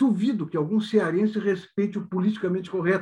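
A man speaks with a high pitch and ordinary pitch variation. His tone is dark and mellow. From Rio Grande do Sul (Santana do Livramento), southern Brazil. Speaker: comedian. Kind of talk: casual chat.

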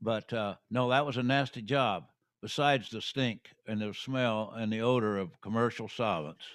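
With a slight Midwestern US accent, a man talks at a medium pitch with ordinary pitch variation. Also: moderate pace, very clean recording, silent background. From Terre Haute, Indiana. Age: 80s. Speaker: retired basketball coach. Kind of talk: casual interview, reminiscing.

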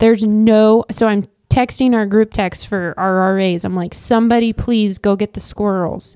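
In an American accent, a woman speaks at a moderate pace in a dark, mellow, medium-pitched voice with fairly even intonation, the sound dry and close with no echo. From Kansas (Wichita). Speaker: real estate agent and coach's wife. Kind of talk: casual interview chat. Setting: podcast studio. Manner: talkative.

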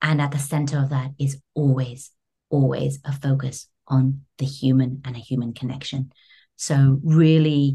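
A woman with a London accent speaks at a fairly slow pace in a very deep, low pitch. Her tone is dark and mellow, somewhat breathy, with monotone, flat intonation. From London, England. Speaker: creative studio director. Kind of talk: interview.

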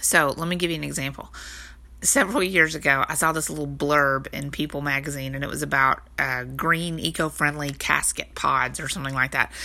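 With a Texan accent, a woman speaks fairly quickly in a very deep, low voice with vocal fry and a bright, sharp tone, on a very clean recording with a silent background. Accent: Texas Southern US. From Texas. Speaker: online business coach, podcast host. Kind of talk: solo tutorial podcast. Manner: casual, conversational with fillers.

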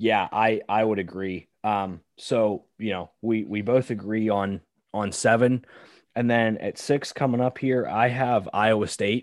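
In an unremarkable speaking voice with an American accent, a man talks at a fairly slow pace and fairly low pitch, with fairly even intonation against a quiet background. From Pittsburgh, Pennsylvania. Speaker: podcast co-host, college football fan. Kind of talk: casual chat.

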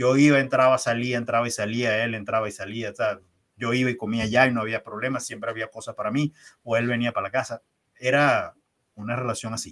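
A man with a medium pitch talks at a fairly quick pace in a monotone, flat delivery. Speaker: leadership trainer. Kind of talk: interview.

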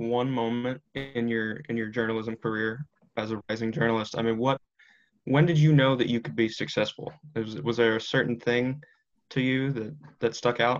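A man with an American accent has an unremarkable speaking voice at a medium pitch. He talks at a moderate pace with ordinary pitch variation. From Washington DC area. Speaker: podcast host. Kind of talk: interview; scripted outro.

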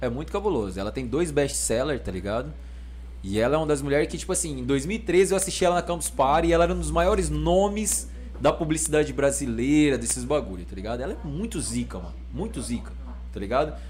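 A man talks very fast, his voice carrying audible room echo. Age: 30s. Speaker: rapper. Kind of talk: casual chat.

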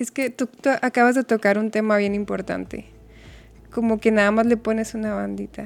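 A soft-spoken woman talks at a moderate pace and fairly high pitch. Her intonation is monotone and flat. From Mexico (Chihuahua). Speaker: nutritionist. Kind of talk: casual chat.

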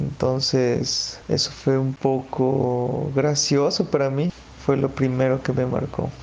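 A man's monotone, flat intonation at a medium pitch, a very slow pace and very even loudness, over noticeable background noise. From Ecuador, Quito. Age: 30s. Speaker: migrant graduate student. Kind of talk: interview testimony.

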